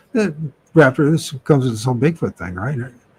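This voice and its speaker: A man speaks with a somewhat breathy sound. His pitch varies an ordinary amount. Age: 50s. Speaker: live stream host. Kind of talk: casual chat. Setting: live stream. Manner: halting.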